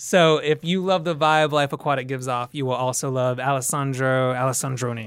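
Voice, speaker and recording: A man at a medium pitch, an unremarkable speaking voice, fairly quick with hardly any pauses and fairly even intonation, on a very clean recording with a silent background. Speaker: TV producer and writer. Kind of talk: casual chat.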